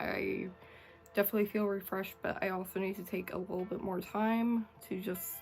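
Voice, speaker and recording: Music plays in the background as a woman talks at a fairly quick pace, her medium pitch showing ordinary pitch variation. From Canada. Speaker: YouTuber and Twitch streamer. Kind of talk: scripted narration and casual outro. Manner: halting, repeats words.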